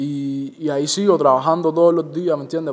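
A man at a very fast pace. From Cuba, Santa Clara; Cuba. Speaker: reggaeton singer and songwriter; interviewee. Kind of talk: interview. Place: home room.

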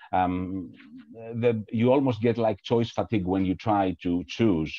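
A man's voice with ordinary pitch variation over a quiet background. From Greece. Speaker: educator; presenter. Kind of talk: webinar presentation. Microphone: video call.

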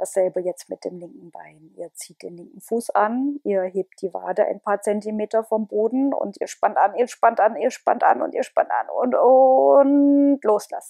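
A woman speaks at a fairly slow pace in a dark, mellow, calm and soothing tone, with very wide pitch swings and big swings in loudness. The sound is dry with no echo over a quiet background. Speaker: relaxation guide. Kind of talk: guided meditation. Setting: home, with headset microphone. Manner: calm, slow, soothing, repetitive. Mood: calm, soothing. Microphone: earbuds.

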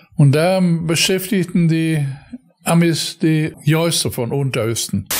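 A man's high voice at a very slow pace, with ordinary pitch variation. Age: 80s+. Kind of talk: interview answer.

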